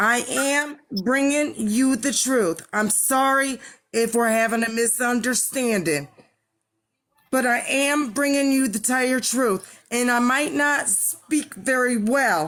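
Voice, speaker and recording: Very slowly and at a very even loudness, a woman speaks in a high pitch with ordinary pitch variation. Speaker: bereaved mother. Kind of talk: interview. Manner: slurred speech; sounds drunk.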